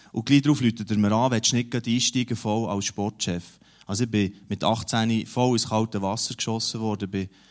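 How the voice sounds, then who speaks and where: A normal speaking voice at a moderate pace with fairly even intonation, on a very clean recording with a silent background. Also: man. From Switzerland, Emmental region (Bern). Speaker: newspaper editor-in-chief. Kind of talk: interview in a church service.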